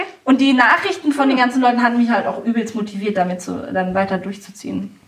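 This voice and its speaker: Amid noticeable background noise, a woman with a fairly high pitch and lively intonation talks at a very fast pace with hardly any pauses. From Hanover, northern Germany. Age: 30s. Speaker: kindergarten founder and triathlete mother. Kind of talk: interview.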